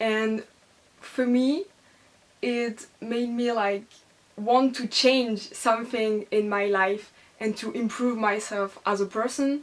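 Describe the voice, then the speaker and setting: At a very slow pace with long, frequent pauses, a woman speaks at a fairly high pitch with fairly even intonation. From France. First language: French. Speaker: book vlogger. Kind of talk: casual book review vlog. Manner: hesitant, many fillers.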